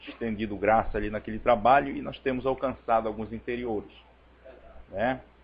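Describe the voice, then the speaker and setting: The male speaker's pitch sits in the middle range. His intonation changes only a little. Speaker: preacher. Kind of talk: sermon. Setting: church service streamed online.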